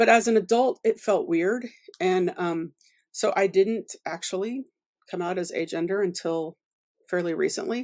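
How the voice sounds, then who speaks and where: In a very clean recording with a silent background and a dry, close sound with no echo, a woman with an unremarkable speaking voice talks at a moderate pace in a medium pitch with ordinary pitch variation. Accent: American. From US South, Louisiana and Oklahoma. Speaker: author. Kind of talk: casual interview.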